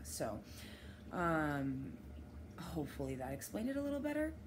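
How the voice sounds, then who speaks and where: Over noticeable background noise and audible room echo, a woman races along at a very fast pace. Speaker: vlogger and dispensary worker. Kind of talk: personal vlog monologue. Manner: halting.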